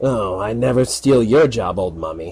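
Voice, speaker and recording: The speaker uses a raspy, put-on character voice. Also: man. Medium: read story. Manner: dry, sardonic.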